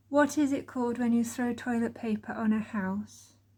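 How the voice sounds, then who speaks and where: A woman speaks with an East Midlands accent, her fairly high voice dark and mellow in tone. She sounds somewhat breathy. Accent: East Midlands English (Derbyshire). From Chesterfield, Derbyshire, England. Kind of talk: casual talk to camera.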